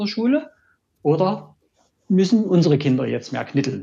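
A man with a fairly high voice speaks, his pitch swinging very widely. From Dresden, Saxony. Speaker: engineer, listener. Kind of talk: casual discussion.

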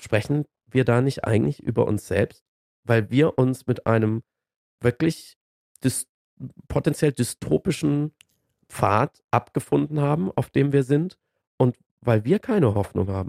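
A man with a medium pitch and a dark, mellow tone speaks fairly slowly with long, frequent pauses and lively intonation. The sound is dry and close, with no echo. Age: 40s. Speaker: climate debate commentator. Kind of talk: casual chat.

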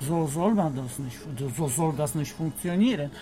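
Over noticeable background noise, a man talks at a moderate pace with a Polish accent. His pitch varies in an ordinary way. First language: Polish (speaking German). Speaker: tobacco shop worker. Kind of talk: casual chat. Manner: halting.

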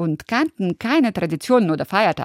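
Her medium-pitched voice swings very widely in pitch. The woman is recorded very cleanly against a silent background, with a dry, close sound and no echo. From former Soviet Union. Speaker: radio host. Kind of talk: scripted narration.

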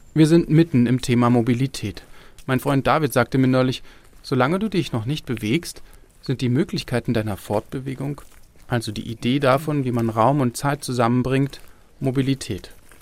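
Man with an unremarkable speaking voice, medium pitch, ordinary pitch variation and a moderate pace. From Berlin. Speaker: radio reporter. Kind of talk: narrated radio feature.

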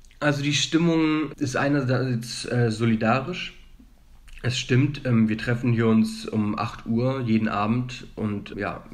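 There is audible room echo in this clip. The speaker is a man with a medium pitch. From Germany. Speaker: student. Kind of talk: interview. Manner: hesitant, many filler sounds.

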